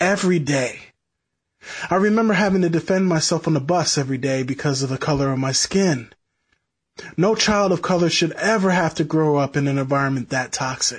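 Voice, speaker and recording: Against a quiet background, a man talks at a fairly quick pace with a fairly high pitch, ordinary pitch variation and very even loudness. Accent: American. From upstate New York, rural Sullivan County. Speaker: protest speaker, local who grew up in the town. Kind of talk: speech at protest; interview. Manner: halting.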